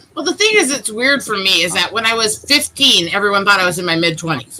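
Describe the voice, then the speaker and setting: A woman speaks at a very fast pace with a medium pitch and very wide pitch swings. Noticeable background noise runs underneath. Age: 30s. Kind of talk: casual chat. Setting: live stream.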